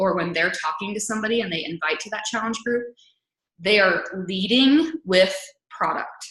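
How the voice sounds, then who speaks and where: Lively intonation marks this woman's voice, which carries audible room echo. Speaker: fitness coach and webinar host. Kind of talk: webinar training talk. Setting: online webinar. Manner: fast.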